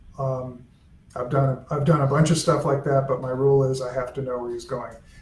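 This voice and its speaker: Audible room echo surrounds a man speaking fairly quickly at medium pitch in a flat monotone. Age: old. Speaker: author's son and estate editor. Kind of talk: casual chat. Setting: live video stream.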